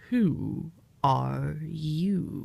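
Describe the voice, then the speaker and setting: A put-on character voice at a middle pitch. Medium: read story. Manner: curt, contrary.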